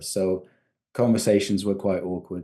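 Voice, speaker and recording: At a fairly quick pace, a man with an English accent speaks with fairly even intonation. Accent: English accent when speaking Georgian. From Georgia, raised in UK from young age. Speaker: novelist. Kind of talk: interview. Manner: hesitant, many fillers.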